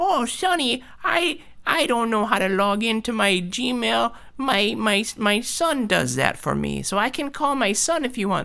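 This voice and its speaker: Over light background noise, a put-on character voice at a fairly high pitch speaks at a fairly slow pace. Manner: frail, confused with technology.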